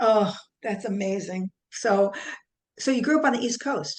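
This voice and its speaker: Speaking with a slight New Jersey accent, a woman at a medium pitch uses ordinary pitch variation and a fairly slow pace with long, frequent pauses. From New Jersey, US. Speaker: podcast host, nurse. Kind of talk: podcast interview.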